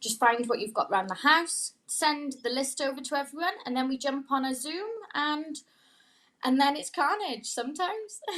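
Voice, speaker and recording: Speaking at a moderate pace with a Welsh accent, a woman uses a high pitch, a bright, sharp tone, and lively intonation. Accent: Welsh (Swansea). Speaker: pop-up bar owner. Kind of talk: casual chat.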